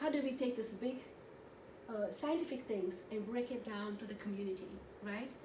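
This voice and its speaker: Through noticeable background noise and audible room echo, a woman with a fairly high pitch and ordinary pitch variation speaks at a moderate pace, with long, frequent pauses. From India, Goa. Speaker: therapist and conference presenter. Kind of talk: conference presentation. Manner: animated.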